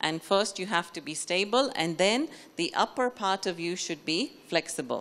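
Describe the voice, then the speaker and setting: A woman speaks at a fairly slow pace. The recording is very clean, with a silent background. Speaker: spiritual speaker. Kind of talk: lecture.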